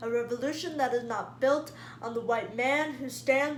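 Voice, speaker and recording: Amid noticeable background noise, a woman speaks fairly slowly in a raised, projected voice with a high pitch. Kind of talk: spoken word poetry performance.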